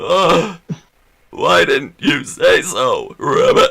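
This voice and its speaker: Putting on a croaky character voice, a man speaks at a very slow pace. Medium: actual play. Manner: repetitive, croaking "rabbit".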